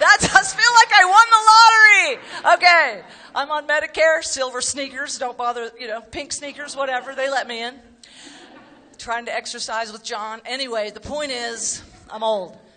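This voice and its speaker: The raised, projected voice is animated, with very wide pitch swings and big shifts in loudness at a moderate pace. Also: woman, high pitch for a woman. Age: 60s. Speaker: comedian. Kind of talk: stand-up. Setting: stage with audience.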